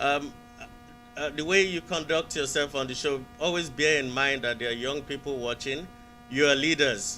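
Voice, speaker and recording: A man with a Nigerian accent and a fairly high pitch, fairly even intonation, a moderate pace, and music in the background. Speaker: caller. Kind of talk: casual chat. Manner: halting.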